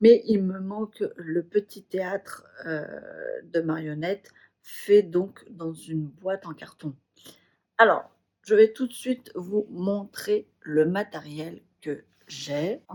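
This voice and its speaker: The voice moves at a very slow pace with ordinary pitch variation. Its loudness swings widely. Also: woman, medium pitch for a woman. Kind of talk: casual craft video talk to camera.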